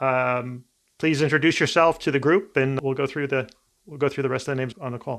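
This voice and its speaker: A man with a fairly high pitch speaks at a fairly quick pace with fairly even intonation. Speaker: podcast host and lawyer. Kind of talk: podcast panel interview. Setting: online call. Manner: fast.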